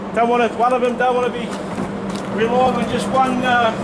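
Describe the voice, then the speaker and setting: A man's voice amid loud background noise. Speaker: caravan salesman. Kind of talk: sales walkthrough commentary. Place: street. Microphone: camera far.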